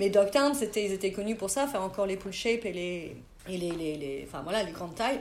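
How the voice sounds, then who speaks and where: Audible room echo surrounds a woman speaking at a medium pitch and a fairly quick pace. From Burgundy, France (near Auxerre). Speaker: skateboard industry agent. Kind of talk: interview.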